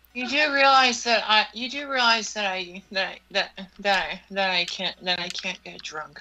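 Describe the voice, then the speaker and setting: A woman talks at a fairly slow pace with hardly any pauses, her intonation lively and her loudness swinging widely over noticeable background noise. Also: medium pitch for a woman. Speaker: roleplay character voice in game. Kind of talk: heated argument in a gameplay roleplay. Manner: cutting, accusatory, and defensive.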